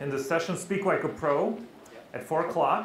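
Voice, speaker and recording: Amid noticeable background noise and audible room echo, a man with a Russian accent speaks at a fairly quick pace in a high pitch with lively intonation. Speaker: public speaking trainer. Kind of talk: interactive workshop talk. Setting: stage with live audience. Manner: animated.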